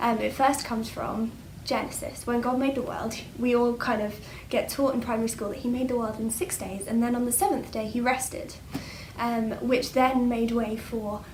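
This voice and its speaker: A woman with an English accent talks at a moderate pace, fairly high in pitch and fairly even in intonation. Noticeable background noise and audible room echo fill the recording. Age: 20s. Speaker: church speaker. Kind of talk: bible talk. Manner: hesitant, many fillers.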